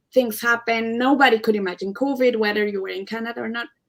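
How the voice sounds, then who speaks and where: This woman has a strong Spanish accent and a fairly high pitch. Her pitch varies in an ordinary way. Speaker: Canadian immigrant panelist. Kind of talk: live panel debate.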